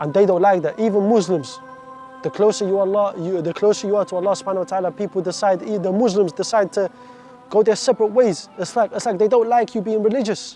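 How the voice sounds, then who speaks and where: The man talks at a very fast pace in a high pitch. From Iraq, raised in the UK from age seven. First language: Arabic. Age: 20s. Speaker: convert story speaker. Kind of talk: testimony. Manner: halting, repeats words.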